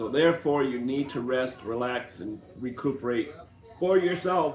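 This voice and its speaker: A man speaks with noticeable background noise around him. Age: 60s. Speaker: diamond painting channel co-host. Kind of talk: casual chat.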